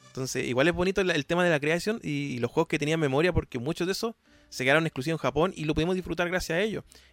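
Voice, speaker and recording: A man's fairly high voice at a very fast pace, dry and close with no echo, with music in the background. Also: ordinary pitch variation. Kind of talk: casual interview.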